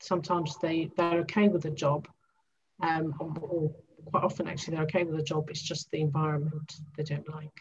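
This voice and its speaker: A woman with a very deep, low pitch and a somewhat breathy voice talks at a fairly quick pace in a monotone, flat delivery. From Greece, moved to UK at 12. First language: Greek. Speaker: transformation coach. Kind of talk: interview.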